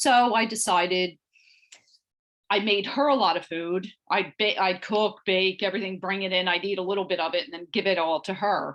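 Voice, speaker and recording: A woman with a normal speaking voice talks at a medium pitch and a moderate pace, with ordinary pitch variation. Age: 60s. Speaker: weight loss client. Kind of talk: interview.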